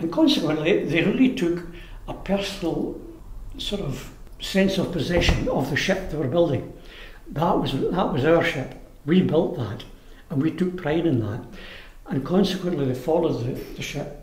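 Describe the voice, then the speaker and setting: A man's high-pitched voice with lively intonation, a moderate pace and long, frequent pauses, over noticeable background noise. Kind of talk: oral history interview answer.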